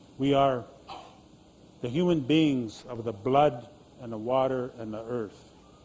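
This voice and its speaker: Audible room echo around a man with an American accent, medium pitched, with ordinary pitch variation. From Idaho, Nez Perce community (US Northwest). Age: 60s. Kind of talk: storytelling and audience Q&A. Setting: stage with audience in an exhibit tent.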